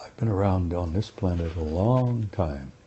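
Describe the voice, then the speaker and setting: A somewhat breathy man with an American accent, moderate pace and very wide pitch swings. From United States. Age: 70s. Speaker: former army sergeant, UFO researcher. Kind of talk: interview. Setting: interview with two hosts. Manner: halting, repeats words.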